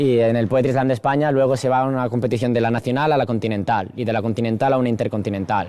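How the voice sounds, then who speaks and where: A man at a very fast pace and a medium pitch, with very even loudness, fairly even intonation and hardly any pauses, over noticeable background noise. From Spain (Barcelona area). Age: 20s. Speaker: slam poet and university student. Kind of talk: interview.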